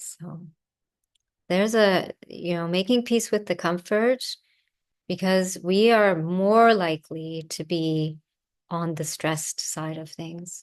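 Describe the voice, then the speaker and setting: Against a quiet background, a woman with a fairly low pitch and a calm tone speaks very slowly, with long, frequent pauses and big swings in loudness. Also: ordinary pitch variation. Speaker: yoga and ayurveda teacher. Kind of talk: online lecture with Q&A.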